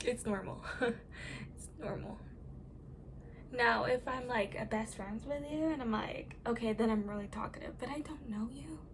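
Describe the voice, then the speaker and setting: A soft-spoken woman with a fairly high pitch talks at a moderate pace, leaving long, frequent pauses. Her pitch variation is ordinary, and audible room echo surrounds her voice. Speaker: makeup tutorial creator. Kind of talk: makeup tutorial. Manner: quiet, soft-spoken.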